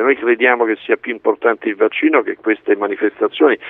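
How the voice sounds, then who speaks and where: The pitch of this man's voice is medium and varies in an ordinary way. He has a normal speaking voice. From Italy. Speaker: doctor, scientific director. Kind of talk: radio interview. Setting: remote link.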